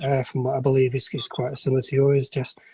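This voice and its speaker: A man speaks with a northern English accent. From northern England, near Blackpool. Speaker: sepsis survivor. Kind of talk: interview testimony. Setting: Instagram live video call. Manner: halting, many false starts.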